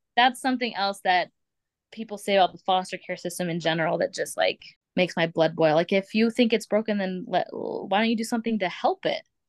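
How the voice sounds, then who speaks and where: A plain, everyday voice moves at a fairly quick pace with ordinary pitch variation. The sound is dry and close, with no echo. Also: woman, medium pitch for a woman. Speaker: foster parent. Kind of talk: casual chat.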